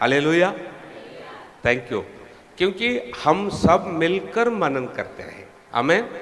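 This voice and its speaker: A man speaks in a high voice with very wide pitch swings over noticeable background noise. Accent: Tamil. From Tamil Nadu, India. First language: Tamil (speaking Hindi). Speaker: preacher. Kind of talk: sermon. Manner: non-fluent Hindi with grammar mistakes.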